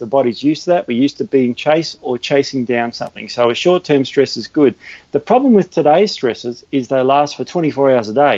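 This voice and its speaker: With an Australian accent, a man speaks fairly quickly and at a fairly high pitch, with ordinary pitch variation and hardly any pauses. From Australia, Melbourne (Sandringham). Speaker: natural health educator. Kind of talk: interview.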